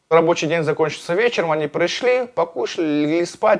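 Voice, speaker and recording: This is a man speaking. His pitch is fairly high. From Russia, Astrakhan region. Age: 30s. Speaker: former prisoner, MMA fighter and blogger. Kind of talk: interview, personal story.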